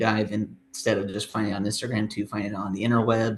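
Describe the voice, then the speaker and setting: A man talks at a medium pitch. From US, southeastern Idaho (Pocatello). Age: 20s. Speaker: youth church leader. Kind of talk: testimony. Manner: halting, many fillers.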